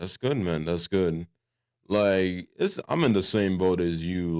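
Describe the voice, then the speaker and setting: In a very clean, dry, close recording with a silent background and no echo, a man with a very deep, low pitch speaks at a fairly slow pace. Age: 20s. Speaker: podcast host. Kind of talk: casual chat. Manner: casual, filler-heavy.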